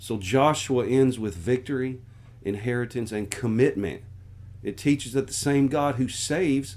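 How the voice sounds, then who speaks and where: Speaking with an American accent, a man goes at a fairly slow pace with ordinary pitch variation. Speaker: pastor. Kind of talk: sermon-style Bible book overview.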